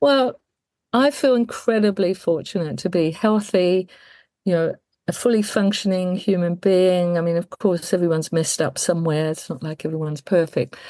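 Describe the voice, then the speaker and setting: A woman speaks with a medium pitch and a dark, mellow tone, using ordinary pitch variation. The background is quiet. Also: moderate pace. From England. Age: 60s. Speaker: death care worker and celebrant. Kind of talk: interview conversation.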